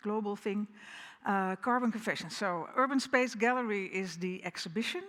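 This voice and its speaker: Bright and sharp in tone, a woman with a Dutch accent speaks at a fairly high pitch. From Netherlands. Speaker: architect, firm co-founder. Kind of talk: keynote lecture. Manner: hesitant, many fillers.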